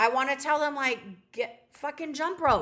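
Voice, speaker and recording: A woman speaks in a raised, projected voice, high-pitched for a woman. Her tone is bright, sharp and animated. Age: 40s. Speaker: podcast co-host. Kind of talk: casual chat.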